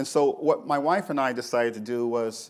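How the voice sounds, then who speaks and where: A man at a moderate pace with fairly even intonation, on a very clean recording with a silent background. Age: 60s. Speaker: nonprofit director and preacher. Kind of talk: panel talk. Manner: halting.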